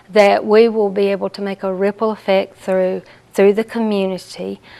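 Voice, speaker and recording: Ordinary pitch variation in a Southern US accent. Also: woman. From US South. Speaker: hospice support services director. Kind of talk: interview.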